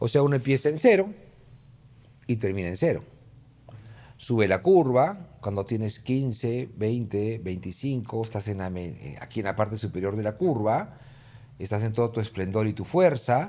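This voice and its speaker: A man's dark, mellow tone with lively intonation and long, frequent pauses. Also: medium pitch for a man, moderate pace. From Peru, Lima. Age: 60s. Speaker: political consultant. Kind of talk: interview conversation.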